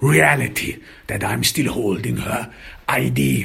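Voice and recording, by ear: The speaker talks at a slow pace with lively intonation and a fairly bright tone. Vocal fry runs through the voice. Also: man.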